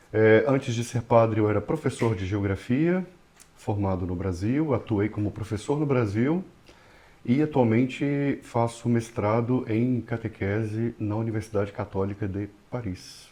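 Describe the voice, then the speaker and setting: With a Brazilian accent, a man speaks at a fairly slow pace in a medium-pitched, dark, mellow tone with ordinary pitch variation. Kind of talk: podcast interview.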